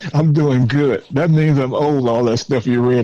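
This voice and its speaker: A man with a Southern US accent at a moderate pace, intonation fairly even. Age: 70s. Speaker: former mayor. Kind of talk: podcast interview. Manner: halting, repeats words.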